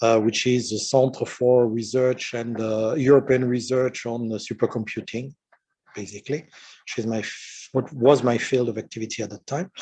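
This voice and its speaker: A man with a strong French accent speaks at a moderate pace in a dark, mellow tone, his medium pitch held in fairly even intonation. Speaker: retired research engineer and science fiction writer. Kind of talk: lecture. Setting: conference talk with audience. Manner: halting, many fillers.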